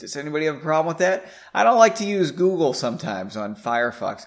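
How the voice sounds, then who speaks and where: A very clean recording with a silent background carries a man's voice. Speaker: podcast host and author. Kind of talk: reading aloud from own novel with chatty intro. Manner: fast talker, trips over words.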